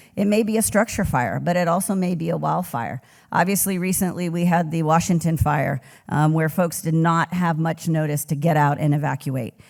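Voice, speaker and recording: Speech comes at a moderate pace in a very clean recording with a silent background. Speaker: emergency services official. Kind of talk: conference talk. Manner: loud.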